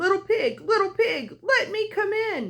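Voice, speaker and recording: A squeaky put-on character voice from a woman, extremely high-pitched and at a moderate pace. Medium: read story. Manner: cunning.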